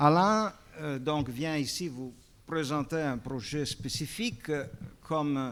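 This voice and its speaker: Here a man speaks with a Belgian accent. His pace is very slow. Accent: Belgian-tinged French. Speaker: panel moderator, film restoration expert. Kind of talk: panel introduction. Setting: auditorium with audience. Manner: halting, many hesitations.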